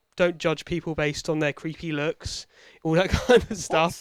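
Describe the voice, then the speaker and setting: A man speaks with a British accent. The recording is very clean and dry, close up with a silent background and no echo. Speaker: podcast host. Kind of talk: casual banter, comedy chat.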